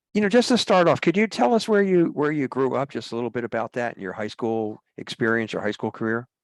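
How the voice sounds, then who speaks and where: A man's medium-pitched voice at a very fast pace, with very wide pitch swings and hardly any pauses, in a dry, close sound with no echo on a very clean recording with a silent background. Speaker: retired mariner working with school students. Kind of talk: interview.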